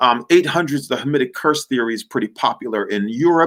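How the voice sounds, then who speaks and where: A man's plain, everyday voice, fairly high in pitch, at a fairly quick pace with lively intonation, in a very clean recording with a silent background. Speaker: workshop presenter on history. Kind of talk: lecture.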